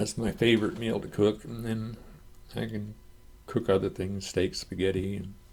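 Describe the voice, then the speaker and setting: At a moderate pace, the speaker uses vocal fry and has an American accent. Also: man, fairly low pitch for a man, fairly even intonation. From US Midwest, southern Michigan. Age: 70s. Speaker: YouTuber. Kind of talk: casual Q&A monologue. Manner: halting, repeats words.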